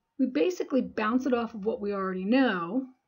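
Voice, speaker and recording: A woman talks at a fairly quick clip in a fairly high voice. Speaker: life coach. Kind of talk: solo podcast talk. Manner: halting, many restarts.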